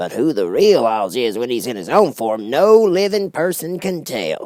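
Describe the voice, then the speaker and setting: In a put-on character voice, a man speaks at a moderate pace and a fairly high pitch with very wide pitch swings. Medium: read story. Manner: folksy, chatty, thoughtful.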